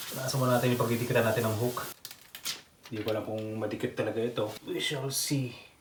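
Noticeable background noise sits behind the voice. The words come at a very fast pace. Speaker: pet vlogger. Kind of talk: tutorial. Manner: casual, chatty.

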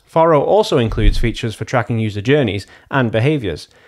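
A man talking very fast against a quiet background. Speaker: presenter. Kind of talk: tutorial. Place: home room. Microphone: studio mic.

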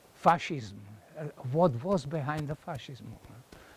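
With a Czech accent and vocal fry, a man speaks at a moderate pace with ordinary pitch variation. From Czechoslovakia (Moravia); Czechoslovakia. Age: 80s+. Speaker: professor. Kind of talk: lecture. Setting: classroom with audience. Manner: halting. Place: classroom.

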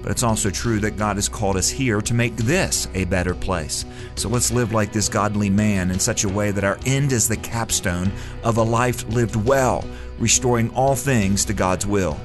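A man's fairly low voice with very wide pitch swings and very even loudness, at a moderate pace over music in the background. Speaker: radio commentator / host. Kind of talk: short radio commentary script read.

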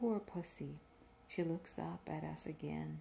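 A soft-spoken woman talks at a very slow pace in a gentle tone. Light background noise is present. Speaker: reader. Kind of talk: reading aloud from a book. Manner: soft-spoken, gentle, quiet reading voice. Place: home room. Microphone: phone near.

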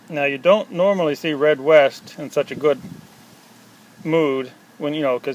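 At a moderate pace, a man speaks with ordinary pitch variation and a dry sound with no echo, over light background noise. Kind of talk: casual show-and-tell commentary. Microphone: phone near.

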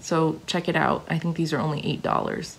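A woman talks with a low pitch at a moderate pace. Her voice carries vocal fry.

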